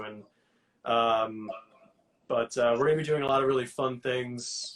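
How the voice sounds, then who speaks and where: A man with a New York accent, medium in pitch, with ordinary pitch variation. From New York City (Queens). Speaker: hot sauce entrepreneur. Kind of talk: interview. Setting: live Instagram video call.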